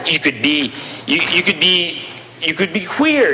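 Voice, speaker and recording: With noticeable background noise behind it, a raised, projected voice swings very widely in pitch. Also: man. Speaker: provincial legislator. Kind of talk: legislative debate speech. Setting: legislative chamber. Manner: halting, repeats words.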